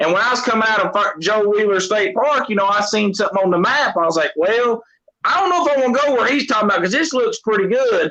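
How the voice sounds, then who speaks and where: With a Southern US accent, a man talks at a very fast pace in a high-pitched, raised, projected voice, his intonation lively and his loudness very even. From Tennessee, Knoxville. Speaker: catfish angler. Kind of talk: casual chat.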